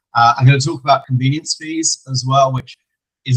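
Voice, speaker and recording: A man talks at a fairly quick pace in an English accent, his pitch medium and his intonation flat and monotone. The sound is dry and close, with no echo. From England. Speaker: payments compliance executive. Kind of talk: educational webinar presentation. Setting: online call.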